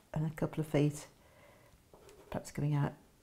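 At a moderate pace, a woman speaks in a low pitch with a dark, mellow tone, a slightly husky edge and monotone, flat intonation.

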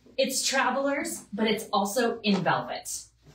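Amid light background noise and audible room echo, a woman speaks at a fairly slow pace. Her intonation is lively. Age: 40s. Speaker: fashion stylist livestream host. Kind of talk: live shopping stream. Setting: at home. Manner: animated. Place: home room.

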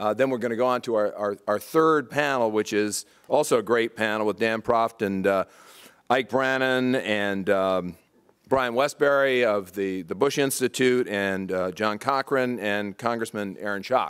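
This man has an ordinary speaking voice at a medium pitch, with ordinary pitch variation. He talks at a fairly slow pace against a quiet background. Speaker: event host. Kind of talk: event introduction. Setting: stage with audience. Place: hall. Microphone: podium.

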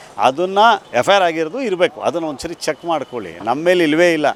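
Noticeable background noise sits behind a man speaking at a high pitch. His voice shows ordinary pitch variation in a dry, close sound with no echo. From Mysuru, Karnataka. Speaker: shop owner. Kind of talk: interview.

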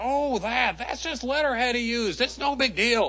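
With light background noise, a man puts on a cartoonish character voice at an extremely high pitch. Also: moderate pace. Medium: puppet show. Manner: wheedling, evasive.

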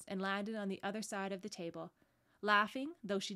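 Someone is reading aloud in a natural voice. The text is read through in that manner.

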